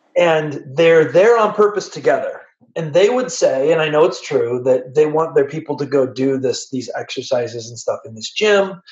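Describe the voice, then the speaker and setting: With an unremarkable speaking voice, a man at fairly high pitch speaks at a moderate pace with lively intonation, big swings in loudness and hardly any pauses. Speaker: podcast host. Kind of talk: casual chat.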